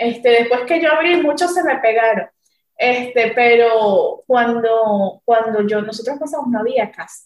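This woman's voice sits high in pitch, with ordinary pitch variation. She talks at a fairly slow pace. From Venezuela. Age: 20s. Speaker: chef and restaurant owner. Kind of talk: interview. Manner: halting.

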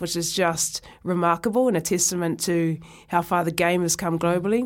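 A woman with a New Zealand accent speaks at a moderate pace in a fairly low voice with ordinary pitch variation. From New Zealand, Oamaru. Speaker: rugby presenter and former player. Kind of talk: interview. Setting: studio. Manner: hesitant, many fillers.

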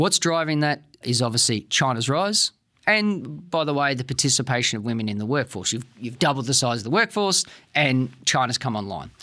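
On a very clean recording with a silent background, a man with an Australian accent talks at a fairly quick pace in a medium pitch, with lively intonation and a bright, sharp tone. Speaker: security policy expert. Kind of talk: interview.

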